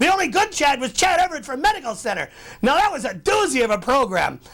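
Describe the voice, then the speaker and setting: A gruff, put-on character voice. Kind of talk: TV editorial. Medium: comedy sketch. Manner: gruff, ranting, exasperated.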